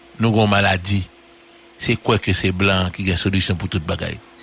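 Noticeable background noise sits under a man's very deep, low voice. He speaks with monotone, flat intonation and long, frequent pauses. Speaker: political commentator. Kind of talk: radio political commentary.

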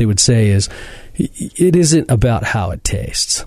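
A man's voice with very wide pitch swings. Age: 40s. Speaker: fitness podcast host and gym owner. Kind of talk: casual interview. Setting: studio.

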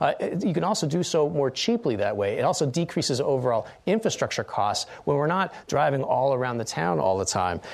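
A man with an American accent, fairly high-pitched with vocal fry, very wide pitch swings, very even loudness, a fairly quick pace and hardly any pauses. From Utah. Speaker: political candidate, law professor. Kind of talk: political debate. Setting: studio.

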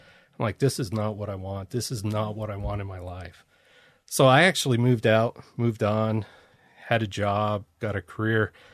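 Against a quiet background, a man with an American accent speaks at a moderate pace in a fairly low pitch, his intonation fairly even and his loudness swinging widely. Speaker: veteran tank soldier. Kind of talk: casual interview. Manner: monotone.

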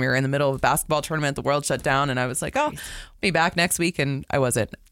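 A woman's very deep, low pitch with fairly even intonation. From US South, South Florida. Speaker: sports broadcaster. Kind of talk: casual chat.

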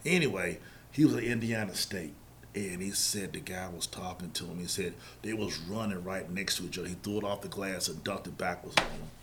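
Noticeable background noise and audible room echo surround a man with a North Carolina accent. He talks at a fairly quick pace in a very deep, low pitch with ordinary pitch variation. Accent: US Southern (North Carolina). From Charlotte, North Carolina. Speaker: youth basketball organization staff. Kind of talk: casual interview.

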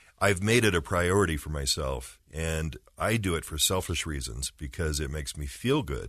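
A very deep, low man's voice with vocal fry and lively intonation, hardly any pauses, and a quiet background. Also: moderate pace. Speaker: radio host. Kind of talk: radio interview.

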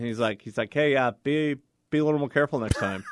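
A man's normal speaking voice, fairly high-pitched, with ordinary pitch variation. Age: 40s. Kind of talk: casual chat; show outro.

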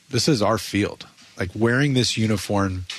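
A plain, everyday voice from a man, fairly low in pitch, at a moderate pace. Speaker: baseball coach. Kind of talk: interview chat.

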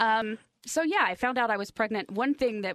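A woman with a plain, everyday voice talks at a fairly quick pace with ordinary pitch variation, in a dry, close sound with no echo. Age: 40s. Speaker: radio station digital content producer. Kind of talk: interview, personal story. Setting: studio.

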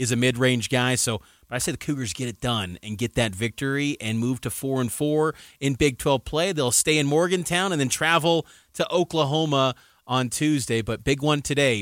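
Heard on a very clean recording with a silent background and a dry, close sound with no echo, an ordinary speaking voice moves at a moderate pace with ordinary pitch variation. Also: man. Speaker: sports radio host. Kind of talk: sports talk.

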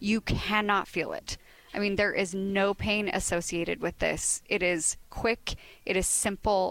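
A woman with a plain, everyday voice, medium pitch, fairly even intonation, and a moderate pace. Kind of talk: sales pitch. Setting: in-store remote broadcast.

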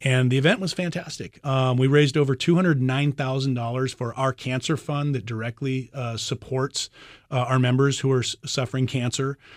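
In an ordinary speaking voice, a man with an American accent talks at a medium pitch and a fairly quick pace with fairly even intonation, on a very clean recording with a silent background and a dry, close sound with no echo. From Phoenix, Arizona. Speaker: fire captain and union officer. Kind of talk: radio interview.

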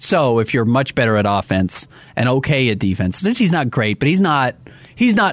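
At a moderate pace, a man speaks at medium pitch in an ordinary speaking voice. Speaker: sports radio host. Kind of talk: casual chat. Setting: studio.

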